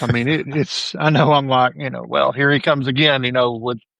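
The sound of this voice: At a medium pitch and a fairly quick pace, a man speaks with vocal fry, a bright, sharp tone and fairly even intonation, in a dry, close sound with no echo.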